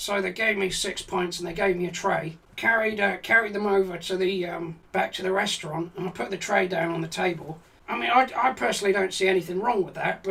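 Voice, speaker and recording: A man puts on a character voice that is raspy and high-pitched. He speaks at a fairly quick pace. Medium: game stream. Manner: rambling, hesitant, profane.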